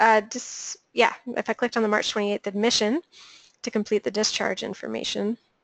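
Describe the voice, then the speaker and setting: A woman with a plain, everyday voice speaks at a moderate pace, her pitch fairly high and her intonation fairly even. The background is quiet, and the sound is dry and close with no echo. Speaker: webinar trainer. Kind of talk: tutorial. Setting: webinar.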